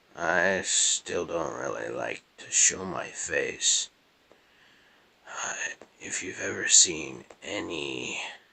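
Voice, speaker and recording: A man whispers at a very slow pace, with long, frequent pauses and big swings in loudness. Noticeable background noise runs underneath. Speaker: gaming YouTuber. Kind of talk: gameplay commentary. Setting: at grandparents' house. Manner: quiet.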